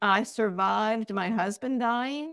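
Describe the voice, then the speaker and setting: A woman in an ordinary speaking voice talks at a fairly slow pace, fairly high in pitch, with ordinary pitch variation. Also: dry, close sound with no echo. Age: 60s. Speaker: artist. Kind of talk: interview.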